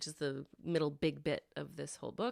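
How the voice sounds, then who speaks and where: Here a woman is soft-spoken. The recording is very clean, with a silent background. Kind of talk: casual intro talk to camera.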